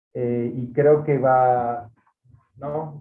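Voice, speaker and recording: Speaking in a Catalan accent, a man uses a medium pitch and a monotone, flat intonation. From Catalonia. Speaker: seminar leader, lecturer. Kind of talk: seminar introduction. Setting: online video call. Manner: halting, many fillers and repetitions.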